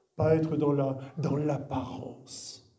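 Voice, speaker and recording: The voice has fairly even intonation, with audible room echo. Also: man. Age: 60s. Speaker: guest pastor. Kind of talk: sermon. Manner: halting.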